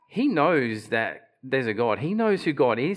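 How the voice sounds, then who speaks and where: The speaker is a man. His speech comes with an Australian accent. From Australia, Queensland (Bundaberg). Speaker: preacher. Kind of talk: sermon. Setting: church platform with audience. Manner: halting, repeats words.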